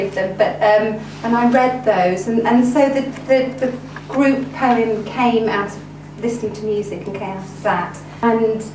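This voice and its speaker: Moderate-paced talking from a woman, fairly high-pitched with ordinary pitch variation, amid audible room echo and noticeable background noise. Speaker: poet. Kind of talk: talk to an audience about their workshop practice. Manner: hesitant, many fillers and repetitions.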